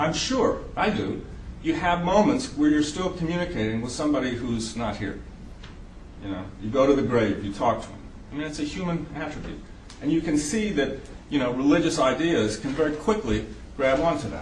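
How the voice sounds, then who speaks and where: Fairly quick and lively in intonation, a man with a slight Southern US accent speaks at a fairly high pitch, with audible room echo and noticeable background noise. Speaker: psychiatrist lecturer. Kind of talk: lecture.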